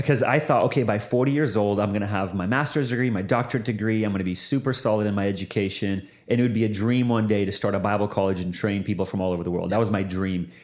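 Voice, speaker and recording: A very fast man with a Pacific Northwest accent, fairly low pitch and ordinary pitch variation. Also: hardly any pauses. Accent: Pacific Northwest American. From US Pacific Northwest. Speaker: pastor and former Bible college director. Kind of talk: casual interview.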